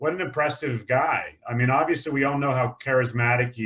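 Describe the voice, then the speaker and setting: Speaking with an American accent, a man holds a medium pitch and fairly even intonation. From United States. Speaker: investment panelist. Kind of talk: webinar Q&A. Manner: hesitant, many fillers.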